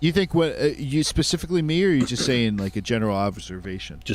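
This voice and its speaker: The pitch swings very widely. The delivery is very fast. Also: man, medium pitch for a man. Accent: Philadelphia-area. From Delaware County, Pennsylvania.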